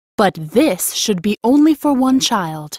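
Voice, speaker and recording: Using a put-on character voice, a woman speaks at a fairly high pitch and a fairly slow pace, with very wide pitch swings, in a dry, close sound with no echo. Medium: audio drama.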